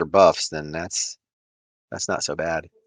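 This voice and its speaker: Against a quiet background, a man with an Ohio accent speaks in a bright, sharp tone. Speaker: podcast host. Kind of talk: casual chat.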